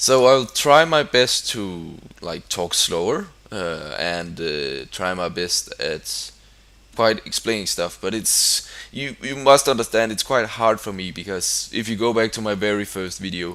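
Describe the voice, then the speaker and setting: In a Danish accent, a man speaks at a fairly low pitch with a bright, sharp tone. His pace is fairly slow and his intonation lively. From Denmark. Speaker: gaming YouTuber. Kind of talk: gameplay commentary. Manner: halting.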